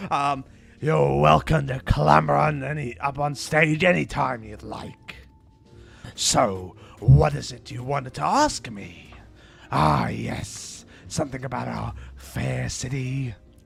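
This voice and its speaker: Putting on a character voice, a man speaks at a fairly slow pace at medium pitch with very wide pitch swings, faint music in the background. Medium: virtual streamer. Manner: jovial, easygoing.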